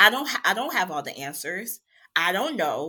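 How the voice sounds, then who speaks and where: An animated woman's voice with a bright, sharp tone and an American accent. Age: 40s. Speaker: interior designer and military veteran. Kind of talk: casual interview.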